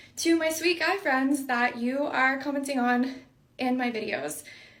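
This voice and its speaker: A woman talks in a high pitch with lively intonation at a moderate pace. There is audible room echo. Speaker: content creator. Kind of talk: casual chat.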